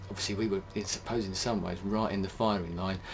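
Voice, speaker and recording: A British accent at a very fast pace, with monotone, flat intonation. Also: man. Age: 40s. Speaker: video blogger. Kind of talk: personal monologue. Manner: hesitant, many fillers.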